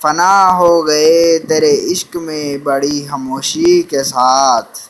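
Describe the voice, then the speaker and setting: Against noticeable background noise, a man with a fairly high pitch speaks with fairly even intonation. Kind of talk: poetry reading.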